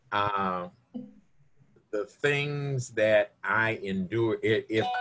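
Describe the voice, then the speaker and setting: With music in the background, a man talks at a medium pitch and ordinary pitch variation. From Kentucky, Louisville. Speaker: retired law enforcement officer. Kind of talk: radio interview.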